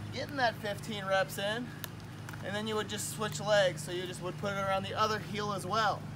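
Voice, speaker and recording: With noticeable background noise around him, a man talks in a raised, projected voice. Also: moderate pace. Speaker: fitness instructor. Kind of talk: tutorial. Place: garden. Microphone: camera far.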